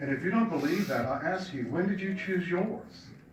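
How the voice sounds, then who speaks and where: A man with an American accent uses very wide pitch swings. The recording has noticeable background noise and audible room echo. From Virginia. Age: 60s. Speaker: LGBT community center director. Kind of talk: public testimony at legislative hearing.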